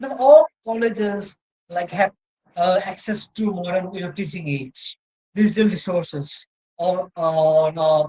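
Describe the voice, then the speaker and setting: The speaker has a Cameroonian accent. The pace is fairly slow. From Northeast India. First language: Mosong. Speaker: university lecturer. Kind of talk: lecture. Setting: online session with slides. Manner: halting, many fillers and self-corrections.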